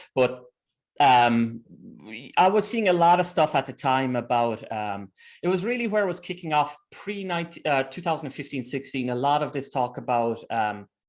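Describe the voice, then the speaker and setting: An Irish accent with lively intonation at a moderate pace, over a quiet background. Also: man, fairly high pitch for a man. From Ireland. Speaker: teacher and researcher. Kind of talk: interview conversation.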